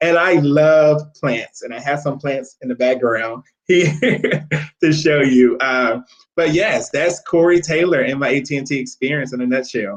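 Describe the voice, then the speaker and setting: In an American accent, a man with a fairly high pitch speaks with ordinary pitch variation. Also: fairly slow pace. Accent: country twang. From Louisiana, US South. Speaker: corporate recruiter, Navy veteran. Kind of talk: webinar interview.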